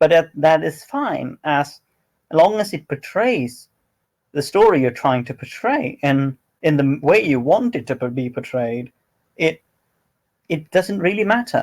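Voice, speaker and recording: With a non-native accent and lively intonation, a man talks at a fairly slow pace with long, frequent pauses. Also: fairly high pitch for a man. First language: not English. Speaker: roleplay community moderator. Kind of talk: casual chat.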